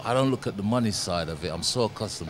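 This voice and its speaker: A man speaks with ordinary pitch variation. Music plays in the background. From Caribbean. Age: 60s. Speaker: former boxing champion and boxing coach. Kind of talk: interview answer.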